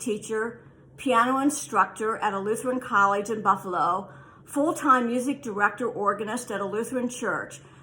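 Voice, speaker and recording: A woman speaks at a fairly high pitch. Her tone is bright and sharp. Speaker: alumna reading a message. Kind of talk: reading aloud.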